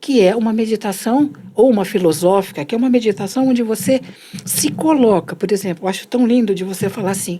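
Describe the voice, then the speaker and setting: The woman's voice sits at medium pitch with a dark, mellow tone. Her intonation is lively. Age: 60s. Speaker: meditation and self-development teacher. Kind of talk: conversational explanation.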